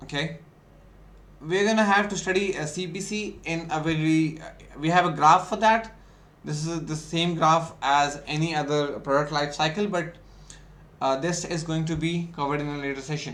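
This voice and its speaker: Audible room echo surrounds a man's voice. He speaks at a fairly high pitch with fairly even intonation. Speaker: ecommerce instructor. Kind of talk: lecture. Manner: fast.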